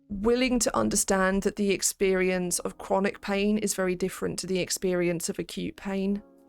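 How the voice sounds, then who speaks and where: Over music in the background, the speech moves at a moderate pace with hardly any pauses and fairly even intonation. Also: woman, medium pitch for a woman. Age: 30s. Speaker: PhD student streamer. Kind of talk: casual study stream chat. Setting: live stream.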